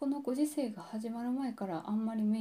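A woman's somewhat breathy, fairly high voice with a dark, mellow tone. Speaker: podcast host. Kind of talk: personal monologue. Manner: deliberately low-energy, subdued delivery; halting, many pauses and fillers.

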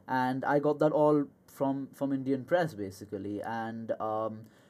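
With a dark, mellow tone and lively intonation, a man speaks at a medium pitch. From India. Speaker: student. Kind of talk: casual interview. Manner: hesitant, many fillers.

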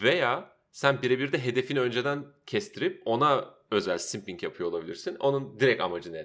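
A man at medium pitch and a moderate pace shows vocal fry and very wide pitch swings. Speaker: podcast co-host. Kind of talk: casual chat.

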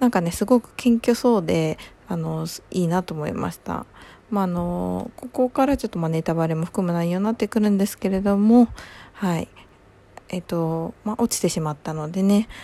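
A soft-spoken woman with a dark, mellow tone talks at a moderate pace, her medium pitch showing ordinary variation. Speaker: podcast host. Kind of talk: casual solo chat.

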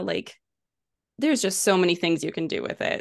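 Against a quiet background, a woman with a medium pitch speaks at a fairly quick pace. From Canada, British Columbia. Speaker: Facebook and Instagram ads specialist. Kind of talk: podcast interview.

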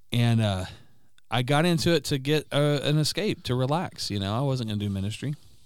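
At a fairly quick pace and medium pitch, a man talks with lively intonation in a plain, everyday voice. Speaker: podcast guest and friend of host. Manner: fluent, rarely stumbles.

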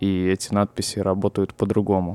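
A man's fairly low, dark and mellow voice at a moderate pace, flat and monotone, with a dry, close sound and no echo. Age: 20s. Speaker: podcaster. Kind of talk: personal monologue.

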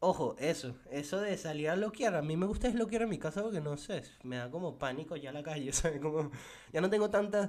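Speaking at a fairly quick pace, a man uses an ordinary speaking voice with a fairly high pitch and lively intonation. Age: 20s. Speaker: podcaster. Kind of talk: casual solo podcast monologue. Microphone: mic too far at first.

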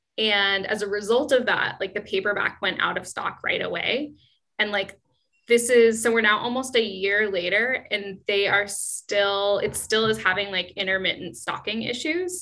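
A bright, sharp tone with a West Coast accent at a moderate pace. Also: woman, medium pitch for a woman, ordinary pitch variation. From US Pacific Northwest, Seattle. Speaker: author. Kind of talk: casual interview.

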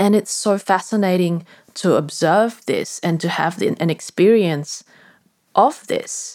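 Her pitch varies in an ordinary way as this woman speaks at a fairly slow pace. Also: medium pitch for a woman. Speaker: podcast host and transformation coach. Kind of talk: solo reflective monologue. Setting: bedroom late at night. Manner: rambling, meandering.

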